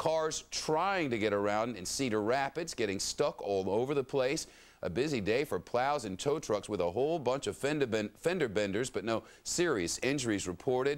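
This man talks with hardly any pauses and a lively intonation. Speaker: TV news anchor. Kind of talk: TV news read. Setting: studio. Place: studio.

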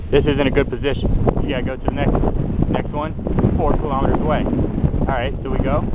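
Over loud background noise, a man speaks at a very fast pace in a dry sound with no echo. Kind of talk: casual vlog chat, sarcastic commentary. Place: open country. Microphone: phone near.

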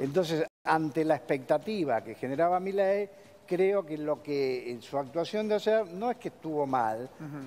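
A man with a plain, everyday voice, fairly slow, with lively intonation. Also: fairly high pitch for a man. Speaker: political analyst. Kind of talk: analysis in studio interview. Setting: studio. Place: studio.

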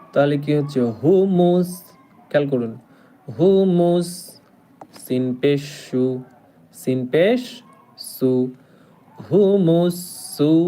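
There is noticeable background noise as a man speaks with lively intonation. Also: fairly high pitch for a man, very even loudness. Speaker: Quran teacher. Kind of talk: online Quran class. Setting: live stream. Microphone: network problems.

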